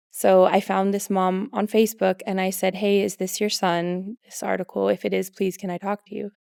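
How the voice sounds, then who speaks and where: A woman with an American accent speaks at a moderate pace and medium pitch with hardly any pauses, her dark, mellow tone delivered in a monotone, flat intonation with a dry, close sound and no echo. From US Pacific Northwest, Seattle. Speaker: mother of children with food allergies. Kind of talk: podcast interview, personal story.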